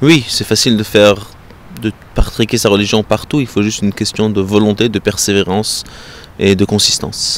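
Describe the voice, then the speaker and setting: Amid noticeable background noise, a man with a fairly low voice speaks at a moderate pace and fairly even intonation, taking long, frequent pauses. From southern France. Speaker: European affairs consultant. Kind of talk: interview. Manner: halting.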